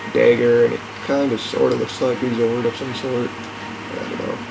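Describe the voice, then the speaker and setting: A man mumbling quietly, with noticeable background noise. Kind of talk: casual video game commentary. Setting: laptop microphone facing away. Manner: quiet, mumbling.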